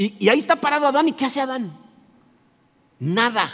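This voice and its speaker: A man talks at a fairly quick pace. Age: 60s. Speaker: pastor. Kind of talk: sermon. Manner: halting.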